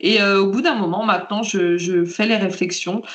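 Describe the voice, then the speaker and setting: A woman's voice comes through with noticeable background noise and audible room echo. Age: 30s. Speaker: patient sharing her story, librarian. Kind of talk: testimony.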